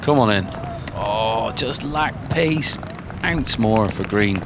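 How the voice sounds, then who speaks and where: A man with a Bristolian accent speaks at a very slow pace, with fairly low pitch and lively intonation. Noticeable background noise and audible room echo surround him. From England, Bristol. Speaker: golf commentator. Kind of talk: live commentary.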